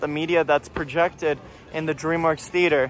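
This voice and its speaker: Music plays in the background as a man with a high voice speaks in an excited tone. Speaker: theme park vlogger. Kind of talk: walking vlog narration. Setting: outdoors at theme park. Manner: excited bursts.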